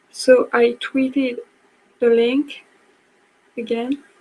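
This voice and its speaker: A woman with a French accent speaks very slowly in a high pitch. Her intonation is monotone and flat. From France. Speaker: book blogger. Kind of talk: online class presentation. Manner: halting.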